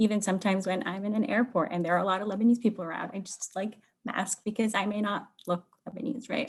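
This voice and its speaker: A woman with a somewhat breathy voice moves at a fairly quick pace, her pitch varying in an ordinary way. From Lebanon. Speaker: workshop participant. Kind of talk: group discussion report-back.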